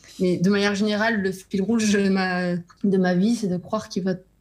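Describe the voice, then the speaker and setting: A woman speaks at a moderate pace. Her voice is somewhat breathy, with monotone, flat intonation. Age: 30s. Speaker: novelist. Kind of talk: interview.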